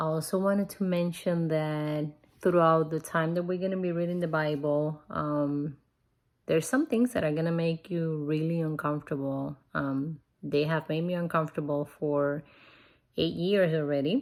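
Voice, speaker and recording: A woman with a non-native accent speaks at a moderate pace with fairly even intonation and a very deep, low pitch. The recording is very clean, with a silent background. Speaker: bible reading vlogger. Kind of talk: casual vlog talk. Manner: hesitant, many fillers.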